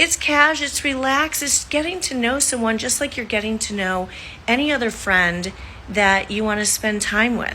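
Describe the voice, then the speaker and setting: Intonation is lively in an ordinary speaking voice. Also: woman. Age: 60s. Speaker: social media creator. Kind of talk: casual vlog monologue.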